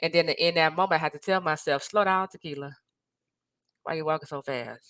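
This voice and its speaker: Loud and animated, a woman with a very deep, low pitch speaks at a fairly quick pace in a very clean recording with a silent background and a dry, close sound with no echo. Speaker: life and marriage coach. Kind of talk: motivational talk to camera.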